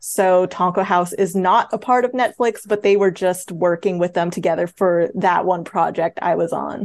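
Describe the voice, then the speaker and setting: A woman with an American accent uses an ordinary speaking voice at medium pitch, moderate pace, and hardly any pauses. Her intonation is fairly even, her loudness very even, and the background quiet. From New York, Queens and Long Island. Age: 20s. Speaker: animation story artist and graphic novelist. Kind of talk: casual interview chat.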